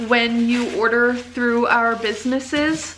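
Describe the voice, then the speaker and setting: A woman with a high voice speaks at a very slow pace, with audible room echo and noticeable background noise. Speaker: vlogger and small business owner. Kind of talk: casual vlog talk.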